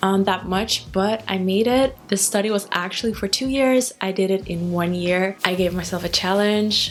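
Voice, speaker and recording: Noticeable background noise runs under speech at a moderate pace with hardly any pauses. The intonation stays fairly even. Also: woman, medium pitch for a woman. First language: Dutch. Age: 20s. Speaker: hair care influencer, trichologist. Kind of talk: casual vlog talk to camera.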